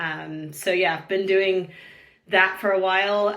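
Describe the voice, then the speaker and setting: A woman with a North American accent speaks with fairly even intonation, and audible room echo surrounds her voice. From San Diego, California, US. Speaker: real estate recruiter. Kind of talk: podcast interview.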